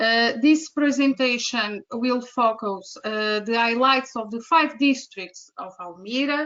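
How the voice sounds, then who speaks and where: A woman with a Portuguese accent speaks at a very slow pace and a high pitch, with hardly any pauses. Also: ordinary pitch variation. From Portugal. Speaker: tour guide and teacher. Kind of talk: online presentation. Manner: halting.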